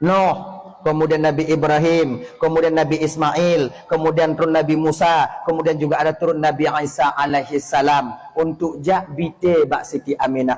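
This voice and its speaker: A man's fairly high, monotone voice in an Acehnese accent, flat in intonation, very even in loudness, at a moderate pace, over noticeable background noise. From Aceh, Indonesia. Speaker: Islamic preacher. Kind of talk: religious sermon. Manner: firm, relaxed.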